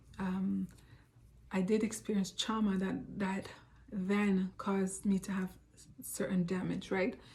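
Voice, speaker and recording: A somewhat breathy voice speaks in a flat monotone, broken up by long, frequent pauses. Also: woman, medium pitch for a woman. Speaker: self-help vlogger. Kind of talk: personal reflective talk. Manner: fast; hesitant, many fillers.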